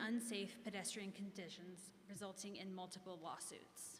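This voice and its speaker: Somewhat breathy, a woman speaks with an American accent. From Kansas. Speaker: business district representative. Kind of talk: public meeting presentation. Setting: echoey meeting room. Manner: formal.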